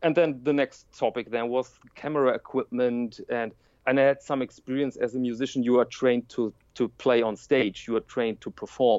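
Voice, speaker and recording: Speaking at a moderate pace with a German accent, a man has a medium-pitched voice and fairly even intonation. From Germany. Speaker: watch YouTuber and print journalist. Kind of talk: interview conversation. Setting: remote call.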